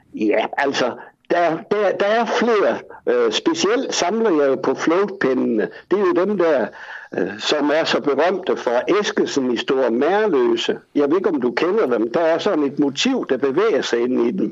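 Over noticeable background noise, this voice moves at a fairly slow pace with very wide pitch swings and very even loudness. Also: man, high pitch for a man. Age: 70s. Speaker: collector. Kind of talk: casual chat. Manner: halting.

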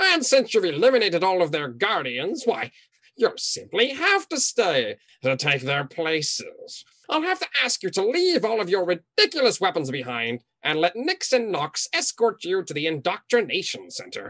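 A man puts on a character voice, high in pitch. He talks at a moderate pace. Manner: furious when defied; smug, mocking, theatrical.

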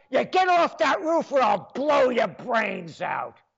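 A man with a New York accent, very wide pitch swings and a very slow pace. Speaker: radio host. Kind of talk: talk radio monologue. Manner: animated.

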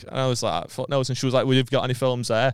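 A man talks at a very fast pace in a medium pitch on a very clean recording with a silent background. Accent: Liverpool. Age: 20s. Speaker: comedian. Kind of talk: casual chat.

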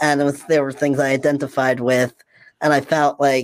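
A man with a plain, everyday voice and a fairly high pitch talks at a moderate pace in a dry, close sound with no echo. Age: 40s. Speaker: transgender man sharing his story. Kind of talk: casual chat.

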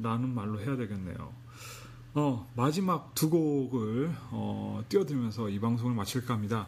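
A man's somewhat breathy medium-pitched voice, fairly slow, with ordinary pitch variation and audible room echo. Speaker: internet radio DJ. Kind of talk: unscripted music radio talk. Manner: halting.

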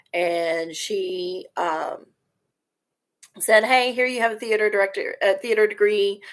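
A woman speaks in a Texan accent. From Texas, Corpus Christi. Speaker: theater teacher. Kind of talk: casual chat.

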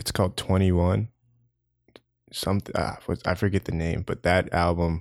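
A man speaks in a very deep, low voice at a moderate pace with fairly even intonation, on a very clean recording with a silent background. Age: 20s. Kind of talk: casual interview chat. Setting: apartment, in person. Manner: monotone, laid back.

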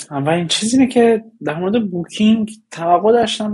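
A man talking at a fairly quick pace. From Iran. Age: 20s. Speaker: data engineer. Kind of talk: interview. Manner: halting.

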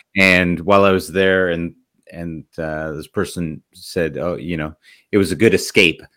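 On a very clean recording with a silent background, a man with a very deep, low pitch and a bright, sharp tone talks at a fairly slow pace, his intonation fairly even and his loudness swinging widely. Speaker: podcast host. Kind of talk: interview, casual conversation.

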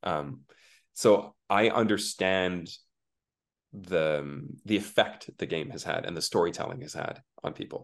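A man's very deep, low voice at a fairly slow pace, with ordinary pitch variation, long, frequent pauses and big swings in loudness. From international upbringing, third culture kid. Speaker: voice actor. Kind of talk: casual interview. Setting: video call. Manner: halting, many repetitions.

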